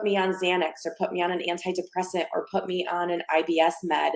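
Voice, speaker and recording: This is a woman talking. Her pitch falls in the middle range. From immigrant, lived in three countries by age six. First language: not English (English is her third language). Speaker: wellness coach. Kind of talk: podcast interview. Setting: live video podcast.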